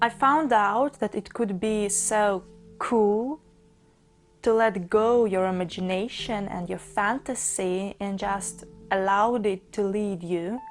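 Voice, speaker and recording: Music plays in the background as a woman speaks very slowly. She has a Russian accent and a medium pitch. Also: ordinary pitch variation. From Russia, Saint Petersburg. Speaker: book vlogger. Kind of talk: casual monologue about a book.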